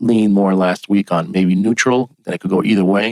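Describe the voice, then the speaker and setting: Quiet and fairly low in pitch, a man speaks at a fairly quick pace in a dry, close recording with no echo. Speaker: forex trading analyst. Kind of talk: tutorial. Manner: halting.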